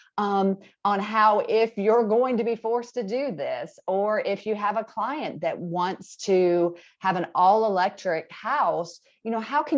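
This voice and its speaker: A woman with an Alabama accent talks at a fairly slow pace and medium pitch, with ordinary pitch variation over a quiet background. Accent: Southern US (Alabama). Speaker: appliance industry presenter. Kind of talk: webinar presentation. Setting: video call. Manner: casual, conversational.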